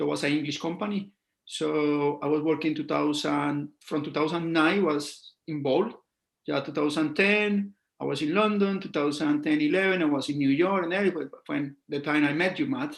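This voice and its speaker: A man with a Colombian accent speaks at a fairly high pitch. His pace is moderate and his intonation fairly even. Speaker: scalp micropigmentation artist. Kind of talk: casual interview.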